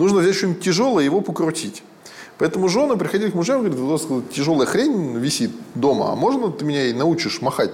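Over noticeable background noise, a man talks at a very fast pace in a high pitch with very wide pitch swings. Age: 30s. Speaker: entrepreneur and fight manager. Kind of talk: casual interview chat.

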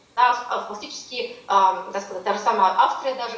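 A woman is heard with noticeable background noise. There is audible room echo. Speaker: political science professor. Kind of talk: interview.

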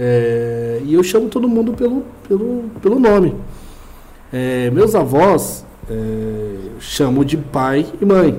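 A man with a fairly high pitch speaks at a very slow pace, his pitch swinging very widely. Audible room echo surrounds his voice. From Brazil, São Paulo East Zone. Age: 20s. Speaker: podcast co-host. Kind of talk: casual chat.

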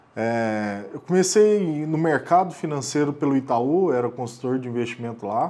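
A man with a fairly high voice speaks at a fairly slow pace, his pitch swinging very widely. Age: 30s. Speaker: investment firm founder. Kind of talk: interview.

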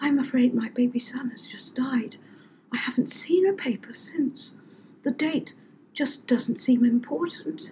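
In a put-on character voice, a female-sounding speaker talks at a moderate pace, her high-pitched voice shaky.

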